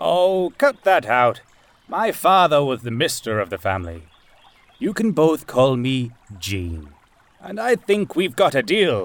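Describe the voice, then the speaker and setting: A man puts on a gruff character voice, fairly high-pitched with very wide pitch swings. He goes at a fairly slow pace with long, frequent pauses. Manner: suspicious, gruff but warming.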